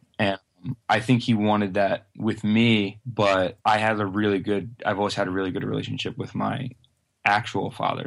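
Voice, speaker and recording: Against a quiet background, a man with a fairly low pitch talks at a moderate pace in a monotone, flat intonation. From US Northeast. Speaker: rock musician. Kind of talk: casual chat. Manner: dry, deadpan humor.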